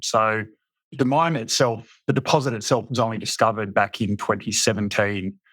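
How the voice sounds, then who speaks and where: A man with an Australian accent, medium pitch and a fairly quick pace, on a very clean recording with a silent background. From Western Australia, Fremantle. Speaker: mining company CEO. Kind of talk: podcast interview.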